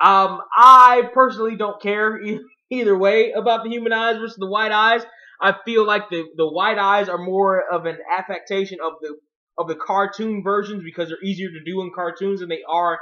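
Over a quiet background, a man with a high pitch keeps a moderate pace and fairly even intonation. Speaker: video blogger. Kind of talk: casual commentary. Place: home room. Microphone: webcam.

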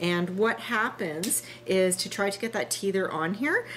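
A woman speaks with ordinary pitch variation over light background noise. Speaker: motovlogger showing gear. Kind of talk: tutorial. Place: kitchen.

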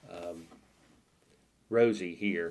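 The man's voice rises and falls with ordinary pitch variation. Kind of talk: tutorial.

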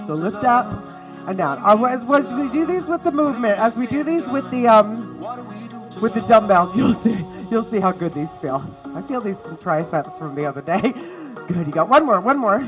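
Speech at a moderate pace over clear music in the background. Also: woman. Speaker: fitness instructor. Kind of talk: workout instruction. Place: studio.

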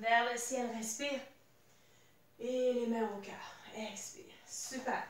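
There is audible room echo around a woman speaking at a high pitch. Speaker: fitness instructor. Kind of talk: workout instruction. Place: home room. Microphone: camera far.

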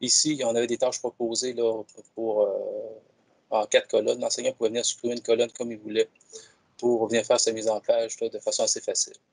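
A man is heard against a quiet background. The sound is dry with no echo. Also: fairly quick pace. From Quebec. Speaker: educational technology advisor; presenter. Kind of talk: software demonstration. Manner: halting, repeats words. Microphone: video call.

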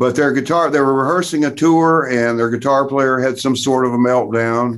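A man with an American accent, an ordinary speaking voice, medium pitch, ordinary pitch variation and a moderate pace against a quiet background. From US South, Tennessee. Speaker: session and touring guitarist; guest. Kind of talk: interview. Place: home room. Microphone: video call.

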